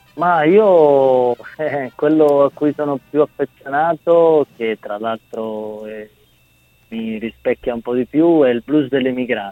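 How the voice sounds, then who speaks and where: Over music in the background, a man speaks very slowly in a fairly high pitch with ordinary pitch variation. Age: 30s. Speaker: bandleader and singer. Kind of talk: interview.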